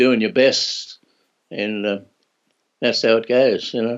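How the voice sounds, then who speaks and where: With an Australian accent, this man speaks at a medium pitch with ordinary pitch variation. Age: 80s+. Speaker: former Olympic athlete. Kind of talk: interview answer. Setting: video call.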